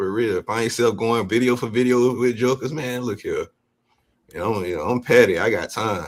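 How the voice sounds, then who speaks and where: A man with a normal speaking voice talks at a moderate pace, his pitch medium and its variation ordinary. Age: 40s. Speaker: guest on a livestream panel. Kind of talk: casual chat.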